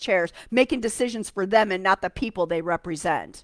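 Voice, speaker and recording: Delivered at a fairly quick pace, the speech has an animated tone and lively intonation, with a dry, close sound and no echo. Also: woman. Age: 60s. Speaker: political commentator, live streamer. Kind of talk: live stream commentary on a news article. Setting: home live stream from an easy chair. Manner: animated, ranting.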